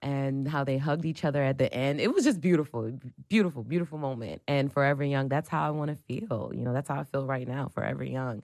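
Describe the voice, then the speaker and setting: With an American accent, a woman speaks at a very fast pace with hardly any pauses. Her pitch is very deep and low, with ordinary variation. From New Jersey. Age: 30s. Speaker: digital producer and lifestyle blogger. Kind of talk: casual interview.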